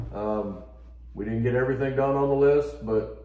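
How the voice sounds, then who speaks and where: A man speaks at a moderate pace. The room gives off an audible echo. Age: 40s. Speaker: homesteader and woodworking channel host; woodworking channel host. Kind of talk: casual chat. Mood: upbeat, excited. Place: home room. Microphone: camera far.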